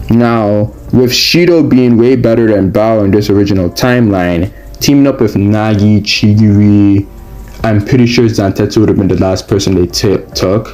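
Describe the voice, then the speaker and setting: Delivered at a moderate pace with ordinary pitch variation and very even loudness, the speech sits over noticeable background noise. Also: man, fairly low pitch for a man. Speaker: anime commentary youtuber. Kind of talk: casual video commentary. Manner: hesitant with fillers.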